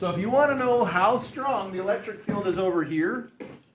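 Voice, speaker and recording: A man's speech, set against noticeable background noise, holds a moderate speed and ordinary pitch movement. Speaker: high school physics teacher. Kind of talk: classroom lecture. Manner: halting, self-correcting.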